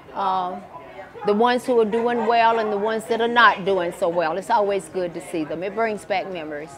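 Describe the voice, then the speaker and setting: A woman at a medium pitch and fairly quick pace, with ordinary pitch variation, audible room echo and crowd noise in the background. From US South, central Florida. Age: 80s+. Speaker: retired teacher. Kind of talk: oral history interview.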